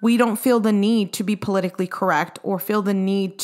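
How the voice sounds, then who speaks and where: A woman speaks in an ordinary speaking voice at a fairly quick pace. Her pitch is medium, with ordinary pitch variation. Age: 20s. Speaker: podcast co-host, military wife and mom. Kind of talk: casual chat.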